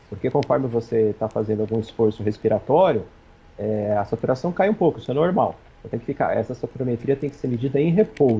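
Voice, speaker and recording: Somewhat breathy, the voice races along at a very fast pace with lively intonation. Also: man, medium pitch for a man. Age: 40s. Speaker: infectious disease physician. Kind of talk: TV interview.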